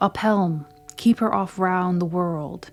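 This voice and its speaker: A booming, female-sounding put-on character voice sits at a middle pitch. It moves at a fairly slow pace. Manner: commanding, roaring.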